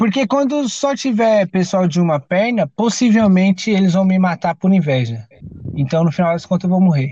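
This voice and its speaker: A high-pitched man speaks at a moderate pace with lively intonation and very even loudness. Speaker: podcast host. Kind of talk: casual chat; game show hosting. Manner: animated.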